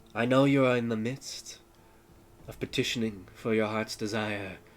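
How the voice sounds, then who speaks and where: Using a put-on character voice, a man talks at medium pitch and a moderate pace. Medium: actual play. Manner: cold, imperious.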